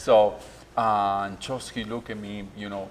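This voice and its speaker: A man with an Argentine accent, fairly low in pitch, monotone and flat, at a moderate pace. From Argentina. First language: Spanish. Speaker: restaurant owner. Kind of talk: interview. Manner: halting.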